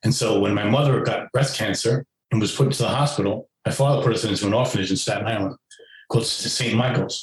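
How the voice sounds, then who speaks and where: Speaking at a very fast pace, a man with an American accent has a medium pitch and a somewhat breathy sound. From New York City (Queens). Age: 60s. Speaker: author, former foster youth. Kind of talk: interview. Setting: podcast interview.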